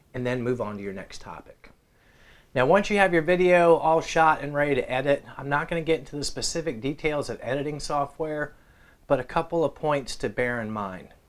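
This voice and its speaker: On a very clean recording with a silent background, a man speaks at a fairly high pitch. He has a normal speaking voice with ordinary pitch variation. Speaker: guitar YouTuber and former radio host. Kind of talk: tutorial.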